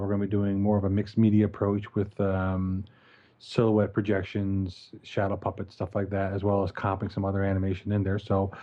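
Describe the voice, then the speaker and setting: A man's fairly low-pitched voice with a Newfoundland accent. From Newfoundland, Canada. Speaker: podcast co-host and animation film director. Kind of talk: casual podcast chat.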